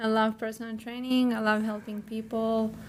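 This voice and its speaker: A woman with a Ukrainian accent speaks in a somewhat breathy voice with a fairly high pitch. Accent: Ukrainian, noticeable. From Ukraine. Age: 20s. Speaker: model and personal trainer. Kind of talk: interview. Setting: podcast studio.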